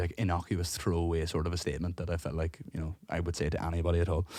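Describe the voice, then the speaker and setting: At a very fast pace, a man talks in a very deep, low pitch with a somewhat breathy voice, captured on a very clean recording with a silent background. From Ireland, Cork. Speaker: podcast co-host and gigging musician. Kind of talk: casual chat, storytelling. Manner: animated; halting.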